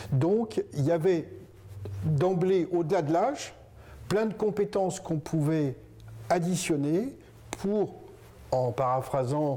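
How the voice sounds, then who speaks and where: At a very slow pace with long, frequent pauses, a man with a high pitch and a dark, mellow tone speaks at very even loudness. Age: 60s. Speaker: business co-founder, hospital manager. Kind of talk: interview. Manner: hesitant, with fillers and restarts.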